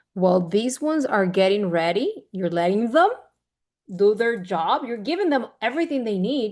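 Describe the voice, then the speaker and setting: Against a quiet background, a woman talks with lively intonation in a Spanish accent. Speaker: women's leadership speaker. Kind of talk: motivational talk with Q&A. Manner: occasionally halting, searching for words.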